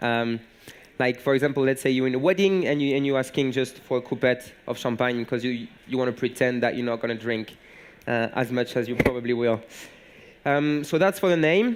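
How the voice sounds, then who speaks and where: In a French accent, a man talks at a medium pitch. Long, frequent pauses break up his speech. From southern France, Montpellier. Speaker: bartender. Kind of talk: conference talk. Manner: halting, many fillers.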